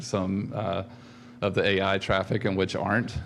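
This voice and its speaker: A man at a fairly low pitch and a moderate pace, with audible room echo. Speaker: conference speaker. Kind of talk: conference talk. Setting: stage with audience. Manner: halting, many fillers.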